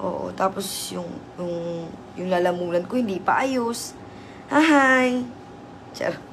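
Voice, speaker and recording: A woman at a fairly slow pace, lively in intonation, with audible room echo and noticeable background noise. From Southern Leyte, Philippines. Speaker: live streamer. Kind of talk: casual live stream chat. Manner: animated.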